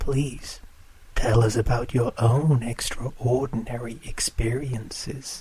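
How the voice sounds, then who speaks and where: A man in a put-on character voice speaks at a fairly slow pace with a medium pitch. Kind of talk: horror radio show hosting. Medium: audio drama.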